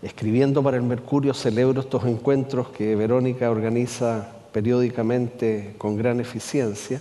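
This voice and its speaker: Hardly pausing, a man talks in a monotone, flat intonation amid noticeable background noise and audible room echo. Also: medium pitch for a man, moderate pace, very even loudness. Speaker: columnist and writer. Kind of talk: public conversation. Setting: stage with audience.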